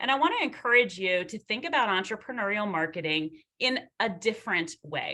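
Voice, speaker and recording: A woman's fairly high, bright and sharp voice at a fairly quick pace, with very wide pitch swings. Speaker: marketing professor. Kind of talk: lecture. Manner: fast.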